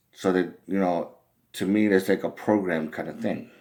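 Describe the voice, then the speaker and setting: At a fairly slow pace, a man talks with a very deep, low pitch. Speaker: vlogger. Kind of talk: personal monologue. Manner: halting, repetitive.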